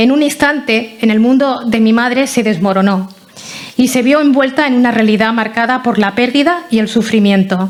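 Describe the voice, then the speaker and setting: A woman with a Catalan accent speaks at a moderate pace in a fairly high pitch, her intonation fairly even, over noticeable background noise. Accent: non-Andalusian, Catalonia Spanish. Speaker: relative of the honoree, local councillor. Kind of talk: memorial talk, partly read from a prepared text. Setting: hall with about 200 people.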